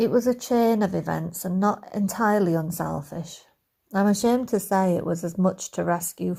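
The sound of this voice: The clip features an unforced reading voice with ordinary pitch variation. The background is quiet.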